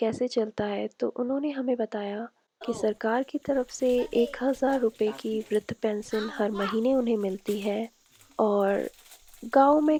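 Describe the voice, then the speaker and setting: A woman speaks in an ordinary speaking voice, fairly high in pitch with ordinary variation, the sound dry and close with no echo. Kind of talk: documentary voice-over narration.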